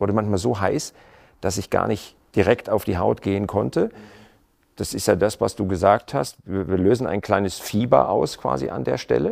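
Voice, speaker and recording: Over a silent background in a very clean recording, a man speaks at a moderate pace with a fairly low pitch and vocal fry. His intonation is lively, and his loudness swings widely. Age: middle-aged. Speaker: TV talk show host. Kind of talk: interview. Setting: home living room studio.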